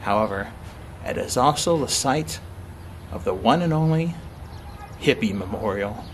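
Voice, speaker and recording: Light background noise accompanies speech at a moderate pace. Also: man. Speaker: travel vlogger. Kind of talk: casual travel vlog chat. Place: garden. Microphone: phone near.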